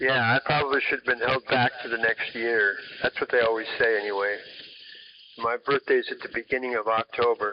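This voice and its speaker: An ordinary speaking voice from a man at medium pitch, fairly quick in pace, with fairly even intonation. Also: very even loudness. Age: 60s. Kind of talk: casual chat.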